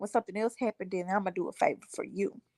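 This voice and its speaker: A woman with lively intonation, recorded dry and close with no echo. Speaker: livestream host. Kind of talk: casual chat. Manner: quiet.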